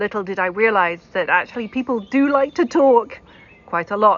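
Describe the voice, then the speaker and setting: A woman with a British accent speaks at a moderate pace, her fairly high pitch showing ordinary variation. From Britain. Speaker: keynote speaker, tech accessibility executive. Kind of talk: keynote talk.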